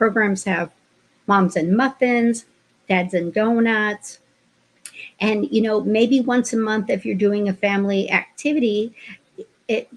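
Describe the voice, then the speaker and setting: Somewhat breathy, a woman speaks at a fairly high pitch with ordinary pitch variation. Her pace is fairly slow, with long, frequent pauses. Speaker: childcare trainer. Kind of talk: webinar training. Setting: online webinar.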